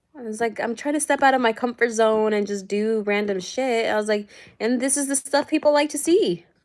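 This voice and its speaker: On a very clean recording with a silent background, a woman with a Spanish accent speaks at a fairly quick pace with ordinary pitch variation. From US, Spanish-English bilingual household. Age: 30s. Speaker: YouTuber. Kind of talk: casual chat. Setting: livestream from home.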